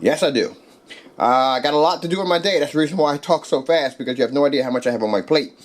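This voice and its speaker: Very fast, a man talks at a fairly high pitch with ordinary pitch variation. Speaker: projector screen maker and seller. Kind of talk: product demonstration. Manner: animated.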